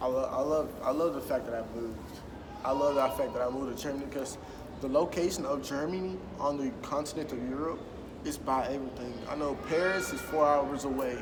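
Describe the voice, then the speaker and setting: A man in an American accent at a fairly high pitch with ordinary pitch variation, talking at a fairly quick pace amid noticeable background noise and audible room echo. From US South, Mobile, Alabama. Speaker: soldier. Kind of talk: interview.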